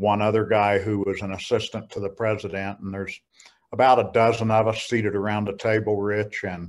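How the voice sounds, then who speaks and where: A man with an American accent, fairly low pitch, monotone, flat intonation and a fairly quick pace, on a very clean recording with a silent background. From rural Kansas. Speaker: church security network president. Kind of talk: interview.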